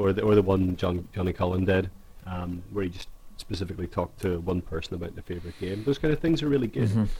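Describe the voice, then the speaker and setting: Very deep and low, a man's voice rushes at a very fast pace in an Irish accent. It sounds somewhat breathy. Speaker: podcast co-host. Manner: casual, conversational.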